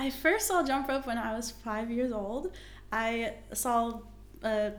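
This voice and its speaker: Audible room echo surrounds a woman's voice. Her pitch is fairly high, with ordinary pitch variation. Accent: American. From US, West Virginia. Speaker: competitive jump roper and performer. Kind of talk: interview.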